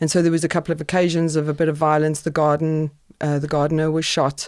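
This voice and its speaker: A woman's very deep, low voice at a very fast pace, with monotone, flat intonation on a very clean recording with a silent background. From South Africa, Transvaal. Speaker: podcast guest. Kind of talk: interview.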